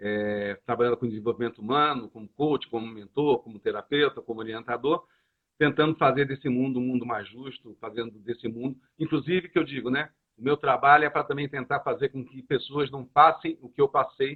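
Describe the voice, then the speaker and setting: In a normal speaking voice, a man talks at a fairly quick pace and medium pitch, with ordinary pitch variation and big swings in loudness. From Brazil, Rio de Janeiro. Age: 60s. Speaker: coach and association founder. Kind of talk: interview. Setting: live stream.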